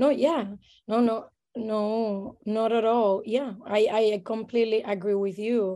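A woman's fairly high-pitched voice with a dark, mellow tone, at a fairly slow pace and with fairly even intonation. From Puerto Rico. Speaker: midwife. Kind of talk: casual interview. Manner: halting, many fillers.

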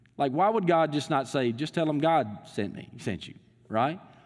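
A man talks in a Southern US accent at a moderate pace. His pitch is fairly high. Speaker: pastor. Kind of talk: sermon. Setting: church. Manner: halting, filler words.

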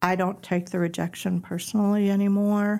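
On a very clean recording with a silent background, a woman with an American accent speaks fairly slowly in a dark, mellow tone. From Wisconsin, suburb of Milwaukee. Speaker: women's ministry leader. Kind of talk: personal testimony in interview.

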